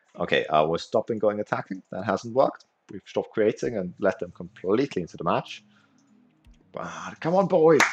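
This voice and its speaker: With a German accent, a man talks at a moderate pace with big swings in loudness, and the sound is dry and close with no echo. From Austria. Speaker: video game streamer. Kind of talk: live gameplay commentary and chat. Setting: livestream. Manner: animated.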